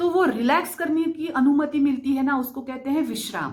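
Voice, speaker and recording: This woman has a Marathi accent. Her pitch is high. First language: Marathi (speaking Hindi). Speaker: spiritual/vastu content creator. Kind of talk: explanatory talk to camera.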